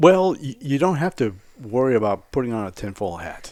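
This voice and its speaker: A man at medium pitch with an American accent and very wide pitch swings. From South Florida. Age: 60s. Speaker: wilderness survival instructor. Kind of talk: casual chat.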